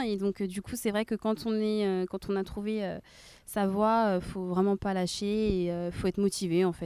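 Her voice sits at medium pitch as a woman speaks at a fairly slow pace with ordinary pitch variation, in a dry, close sound with no echo. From Rennes, France. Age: 20s. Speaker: nursing assistant. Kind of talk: casual interview. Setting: outdoors in a park. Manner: halting.

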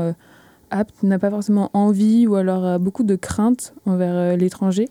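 At a moderate pace, a woman talks at a medium pitch with a dark, mellow tone and monotone, flat intonation. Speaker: master's student. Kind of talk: casual chat. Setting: studio.

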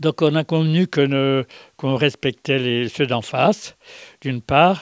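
Very slowly and with ordinary pitch variation, a man speaks on a very clean recording with a silent background and a dry, close sound free of echo. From France. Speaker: war veteran. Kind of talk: interview testimony. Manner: halting, repeats words.

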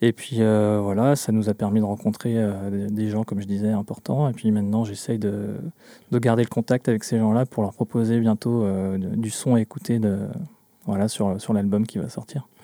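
A man's fairly low, dark, mellow voice at a moderate pace, flat and monotone, on a very clean recording with a silent background. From central Brittany. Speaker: folk-pop musician. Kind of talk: radio interview. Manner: hesitant, many fillers.

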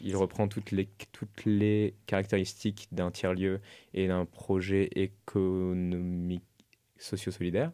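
Very deep and low in pitch, a man with a dark, mellow tone speaks at a very slow pace in a monotone, flat intonation, in a very clean recording with a silent background. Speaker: architecture student. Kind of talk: radio interview. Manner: halting.

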